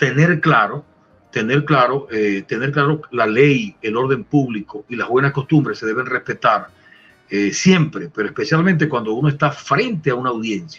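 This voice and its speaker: Music in the background behind a man with a fairly high pitch, lively intonation, a moderate pace and big swings in loudness. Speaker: veteran radio announcer and lawyer, promoter of Venezuelan music. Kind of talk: interview answer.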